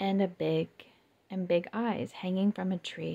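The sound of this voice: The voice reads unforced. Its intonation is fairly level.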